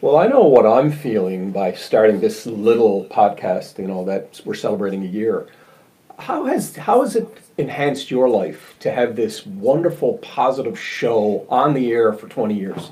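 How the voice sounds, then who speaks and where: A man speaks with a Newfoundland accent at a moderate pace. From Newfoundland, St. John's east end. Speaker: podcast host. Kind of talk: interview. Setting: video call.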